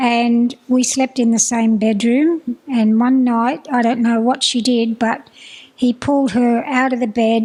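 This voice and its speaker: At a fairly slow pace and a very even loudness, the speaker talks with an Australian accent and monotone, flat intonation. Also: woman, high pitch for a woman. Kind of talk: personal testimony. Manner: halting.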